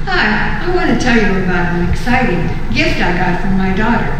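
A woman speaks with lively intonation over noticeable background noise, her voice carrying strong room echo. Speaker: mother promoting grip socks. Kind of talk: casual product testimonial to camera. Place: home room. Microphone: camera far.

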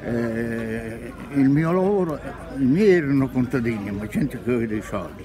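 Noticeable background noise sits behind a man speaking at a moderate pace with lively intonation. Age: 80s+. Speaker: retired train driver. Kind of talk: interview answer. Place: market. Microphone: phone near.

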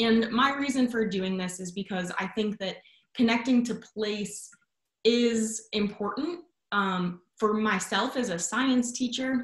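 A fairly high-pitched, somewhat breathy woman's voice with an American accent, a fairly slow pace and ordinary pitch variation, audible room echo over a quiet background. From Chicago suburbs, US Midwest; Illinois. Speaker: education researcher; guest, science educator. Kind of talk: lecture. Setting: video call. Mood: warm, enthusiastic. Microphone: video call.

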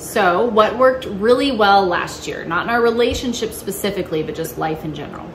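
Lively intonation from a woman at a medium pitch, with hardly any pauses and noticeable background noise. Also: fairly quick pace, big swings in loudness. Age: 30s. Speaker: family vlogger. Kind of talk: casual chat.

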